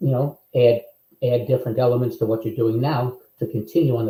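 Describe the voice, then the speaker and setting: A man's somewhat breathy voice with a dark, mellow tone, medium pitch, fairly even intonation and a very fast pace. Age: 70s. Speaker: business founder and CEO. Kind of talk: interview. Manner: halting, many fillers.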